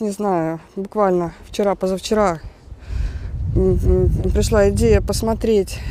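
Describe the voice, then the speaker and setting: Fairly slow speech from a woman, with noticeable noise in the background. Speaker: vlogger. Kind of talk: casual vlog commentary. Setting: outdoors at the beach.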